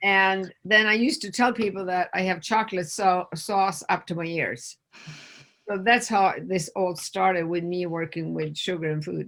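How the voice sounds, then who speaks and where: A woman with a Swedish accent speaks at a medium pitch. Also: ordinary pitch variation, moderate pace. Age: 60s. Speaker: nurse and food addiction expert. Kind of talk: interview conversation.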